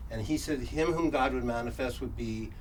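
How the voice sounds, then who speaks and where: A man talks at a moderate pace with audible room echo around him. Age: 70s. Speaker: workshop presenter. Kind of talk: lecture. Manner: halting.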